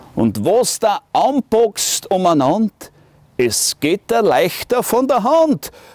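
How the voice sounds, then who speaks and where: In a Styrian accent, a man speaks at a very slow pace and a high pitch, with very wide pitch swings and very even loudness. The sound is dry with no echo, over a quiet background. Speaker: musician. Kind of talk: poetry reading. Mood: humorous, warm, expressive. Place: garden.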